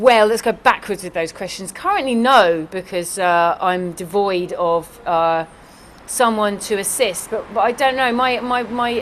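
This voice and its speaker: Over noticeable background noise, a woman with a southern English accent talks at a moderate pace, her medium pitch showing ordinary variation. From London. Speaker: executive assistant. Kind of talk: interview answers. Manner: halting.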